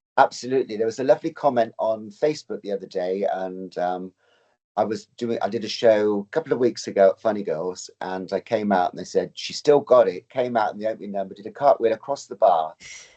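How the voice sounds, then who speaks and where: With an English accent, a man talks at a very fast pace and a medium pitch, showing ordinary pitch variation and big swings in loudness. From England, Oxfordshire. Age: 60s. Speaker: drag performer and dancer. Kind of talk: interview conversation.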